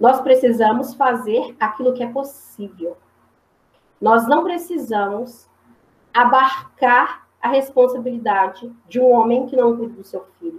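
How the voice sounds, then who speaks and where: A woman speaks with a high pitch and ordinary pitch variation at a fairly slow pace. Her loudness swings widely. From Minas Gerais, Brazil. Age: 30s. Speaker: history teacher and school principal. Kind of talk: talk at community discussion.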